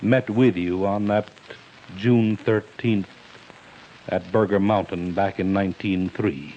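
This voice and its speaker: Speaking at a fairly slow pace, a man uses a fairly low pitch. Noticeable background noise is present. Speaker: radio announcer and interviewer. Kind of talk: interview question.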